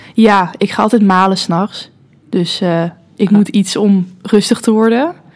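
A woman talks in an ordinary speaking voice at a medium pitch. She goes at a fairly slow pace with ordinary pitch variation. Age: 20s. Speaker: student and social media manager. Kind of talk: casual chat.

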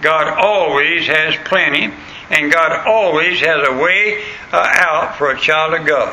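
Over noticeable background noise, a man with a Southern US accent talks at a fairly high pitch with ordinary variation. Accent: Southern US rural. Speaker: pastor. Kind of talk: sermon. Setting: church. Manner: folksy, hesitant with frequent fillers.

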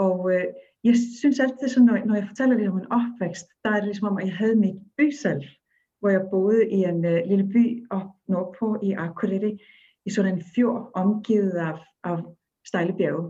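A woman with an Icelandic accent speaks at a moderate pace and a medium pitch. Her somewhat breathy voice has a dark, mellow tone and ordinary pitch variation. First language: Icelandic (speaking Danish). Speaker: storyteller and dance facilitator. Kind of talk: interview conversation.

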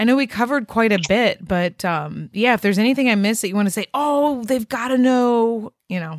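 A normal speaking voice at a fairly quick pace, with ordinary pitch variation and a dry, close sound with no echo. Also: woman, fairly high pitch for a woman. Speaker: podcast host. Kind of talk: casual interview conversation.

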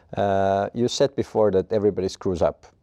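A man with an Estonian accent speaks at a fairly low pitch with fairly even intonation and a dark, mellow tone. The sound is dry and close with no echo. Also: quiet background. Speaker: podcast host, interviewer. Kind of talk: interview conversation.

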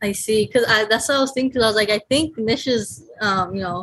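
A woman with a normal speaking voice talks at a fairly quick pace and a fairly high pitch. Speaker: course participant. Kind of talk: casual Q&A. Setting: video call.

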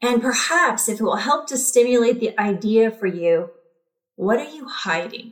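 A woman speaks in a normal speaking voice, fairly high-pitched, with lively intonation. Her loudness swings widely. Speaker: podcast host and therapist. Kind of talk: guided meditation, box-breathing exercise. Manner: slow, calm, soothing, evenly paced counting with long pauses; gentle, warm, reassuring.

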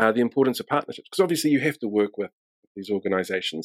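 With a New Zealand accent and lively intonation, the voice sounds dry and close with no echo. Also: man. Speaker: podcast host. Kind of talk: casual interview.

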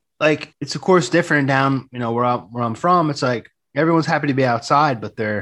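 Against a quiet background, a man with a plain, everyday voice and an American accent speaks at a medium pitch and a moderate pace, with ordinary pitch variation. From New Jersey, Jersey Shore. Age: 30s. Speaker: writer and poet. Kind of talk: casual interview.

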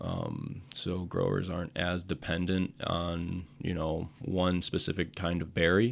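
Very deep, low pitch from a man with an Upper Midwest accent, at a very slow pace, in a very clean recording with a silent background. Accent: Upper Midwest American. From central Wisconsin. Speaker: agricultural PR manager. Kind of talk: interview. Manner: hesitant, many fillers.

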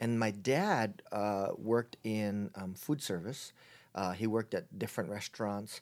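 A man with a Hawaiian accent speaks at a fairly low pitch and a fairly slow pace, with ordinary pitch variation, on a very clean recording with a silent background. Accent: Hawaiian American. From Hawaii, Honolulu. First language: Chinese. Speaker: pastor. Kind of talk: casual interview.

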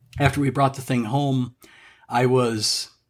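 A man with a normal speaking voice talks at a moderate pace with fairly even intonation in a very clean recording with a silent background. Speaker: car enthusiast. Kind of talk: casual chat.

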